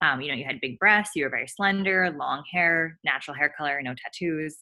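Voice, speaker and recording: A woman speaks at a fairly low pitch with a bright, sharp tone. Her pitch variation is ordinary. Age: 20s. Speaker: sex worker and podcaster. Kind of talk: casual chat. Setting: video call.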